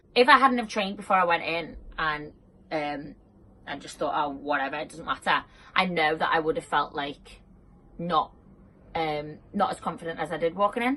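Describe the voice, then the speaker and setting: A woman with a fairly low pitch uses a bright, sharp tone and lively intonation at a moderate pace. Her loudness swings widely, and her pauses are long and frequent. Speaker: personal trainer. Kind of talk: casual talk to camera. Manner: casual, filler-heavy.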